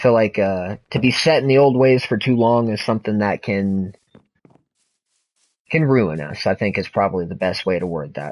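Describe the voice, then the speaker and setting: With a plain, everyday voice, a man speaks at a moderate pace, fairly low in pitch and lively in intonation. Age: 30s. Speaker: video game streamer. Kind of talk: casual chat.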